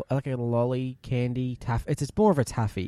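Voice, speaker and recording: A man with a strong Australian accent talks at a fairly quick pace in a dark, mellow tone with ordinary pitch variation, on a very clean recording with a silent background. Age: 20s. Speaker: podcast co-host. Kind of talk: casual chat.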